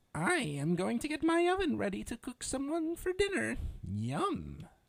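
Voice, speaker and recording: A man puts on a character voice at an extremely high pitch. He keeps a moderate pace. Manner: muttering.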